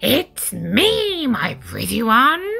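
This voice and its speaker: This is a put-on character voice that sounds female. Its pitch is high. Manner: cackling.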